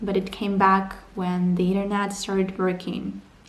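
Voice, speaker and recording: Over noticeable background noise and audible room echo, a woman speaks fairly slowly at a medium pitch in a flat monotone. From Ukraine, Donbass. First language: Ukrainian or Russian. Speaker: vlogger. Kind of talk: personal vlog narration.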